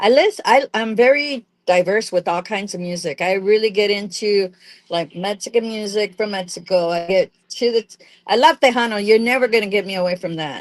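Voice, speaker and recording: A woman with a medium pitch and ordinary pitch variation talks at a fairly quick pace in an ordinary speaking voice, her loudness swinging widely. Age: 60s. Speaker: podcast co-host. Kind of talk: casual chat.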